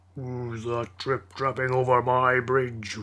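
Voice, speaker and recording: A put-on character voice with monotone, flat intonation. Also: man, medium pitch for a man, fairly slow pace. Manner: roaring, menacing.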